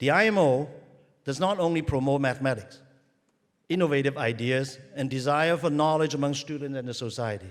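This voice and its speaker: With a Cantonese accent, a man speaks at a fairly high pitch with ordinary pitch variation. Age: old. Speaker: university president. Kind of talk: ceremonial speech. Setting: stadium with audience.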